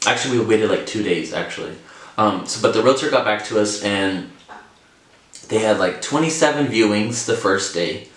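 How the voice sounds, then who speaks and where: There is noticeable background noise and audible room echo around this man. His pitch is fairly low, with ordinary variation. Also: moderate pace. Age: 20s. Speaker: vlogger, first-time home buyer. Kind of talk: casual vlog talk to camera. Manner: casual, filler-heavy with repetitions.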